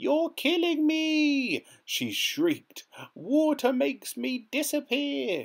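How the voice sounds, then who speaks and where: Very slow, shrill put-on character voice from a man, pitched extremely high. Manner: shrieking.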